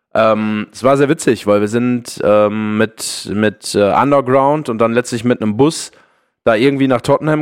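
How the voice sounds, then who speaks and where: A man with an unremarkable speaking voice talks at medium pitch and a moderate pace. His intonation is fairly even over a quiet background. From Ruhr area, Germany. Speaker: football podcaster. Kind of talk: casual chat.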